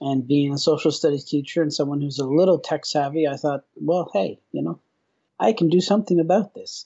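With a normal speaking voice, a man talks at a fairly quick pace and a fairly high pitch, using ordinary pitch variation. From Newfoundland, Canada (rural). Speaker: professor of instructional design. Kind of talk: interview.

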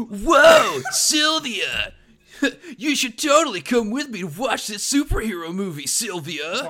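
Shouting in a put-on character voice, a man speaks at a fairly slow pace with an extremely high pitch. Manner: exaggerated, douchey.

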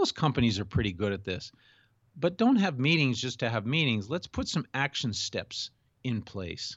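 A man speaks at a moderate pace in a medium-pitched voice. His pitch swings very widely. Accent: American. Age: 60s. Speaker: executive coach. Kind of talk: interview.

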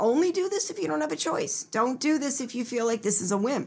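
An American-accented woman speaks at a fairly high pitch with very wide pitch swings. Noticeable background noise is present. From Pennsylvania, Philadelphia suburbs. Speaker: novelist and writing program director. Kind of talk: interview.

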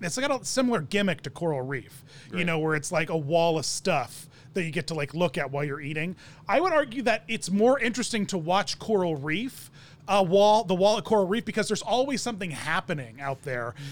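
A man with a high pitch speaks at a fairly quick pace, his pitch swinging very widely. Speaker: podcast host. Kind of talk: casual chat.

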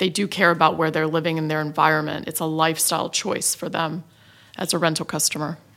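A woman with an American accent speaks at a very fast pace in a very deep, low pitch, her tone bright and sharp and her intonation monotone and flat. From United States. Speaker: property development executive. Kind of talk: panel discussion.

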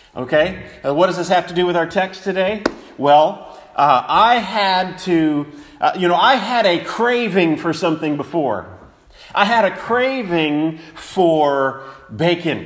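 Against noticeable background noise and audible room echo, a man talks at a fairly slow pace in a high pitch with ordinary pitch variation. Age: 40s. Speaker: preacher. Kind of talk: sermon. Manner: halting, many fillers and repetitions.

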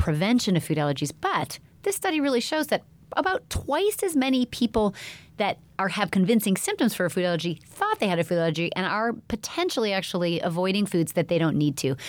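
A woman with an ordinary speaking voice talks at a fairly quick pace and medium pitch, her intonation lively and her loudness very even. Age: 40s. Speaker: pediatrician podcast host. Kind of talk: health podcast monologue.

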